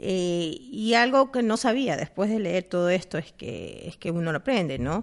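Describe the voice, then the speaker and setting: Using medium pitch with very wide pitch swings, a woman talks at a fairly slow pace with hardly any pauses. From Ecuador. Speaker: podcast co-host. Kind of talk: casual chat. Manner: animated.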